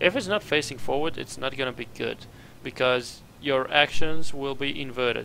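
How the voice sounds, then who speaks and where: With a non-native accent, a man speaks at a medium pitch in a bright, sharp tone. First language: not English. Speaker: game streamer. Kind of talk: live gameplay commentary. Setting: live stream.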